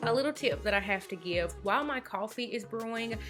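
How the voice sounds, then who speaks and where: A woman with a Southern US accent and ordinary pitch variation, music playing in the background. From North Carolina. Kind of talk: casual talk to camera.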